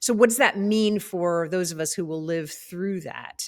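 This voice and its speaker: A plain, everyday voice speaks at a fairly slow pace. Its pitch varies in an ordinary way. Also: woman. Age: 50s. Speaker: podcast host. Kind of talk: interview.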